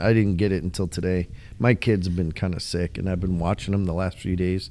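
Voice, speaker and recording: A man with an American accent speaks at a fairly quick pace. His voice is very deep and low. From Illinois. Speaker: podcast co-host. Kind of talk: casual chat.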